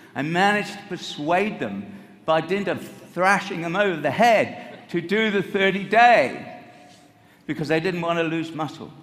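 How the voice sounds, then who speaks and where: A man with a high pitch talks at a moderate pace with ordinary pitch variation, and audible room echo surrounds him. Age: 70s. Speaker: nutrition scientist speaking at a company event. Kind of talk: motivational talk to an audience.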